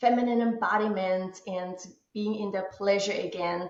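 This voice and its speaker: Monotone, flat delivery in an Austrian accent. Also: woman. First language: German. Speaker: womb healing coach, former musical theater actress. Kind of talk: interview. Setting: remote call from husband's office. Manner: calm.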